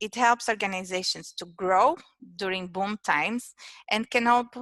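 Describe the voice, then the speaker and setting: A woman with a Portuguese accent speaks at a moderate pace and medium pitch, with ordinary pitch variation and a bright, sharp tone. The sound is dry and close with no echo, on a very clean recording with a silent background. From Portugal. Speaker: innovation manager at an engineering firm. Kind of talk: presentation. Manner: halting, many fillers.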